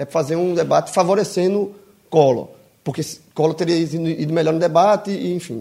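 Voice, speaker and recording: Fairly quick, a man talks in a dark, mellow tone. His pitch is high, with ordinary variation. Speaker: podcast co-host. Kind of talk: casual chat.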